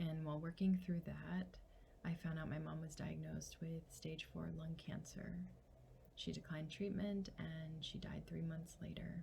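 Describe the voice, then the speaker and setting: A soft-spoken woman talks at a fairly slow pace. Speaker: licensed mental health counselor. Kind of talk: testimonial.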